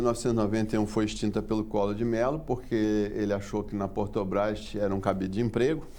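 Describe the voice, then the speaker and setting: This man's voice has a dark, mellow tone, with audible echo from the room. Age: 60s. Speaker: port engineer. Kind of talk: TV interview.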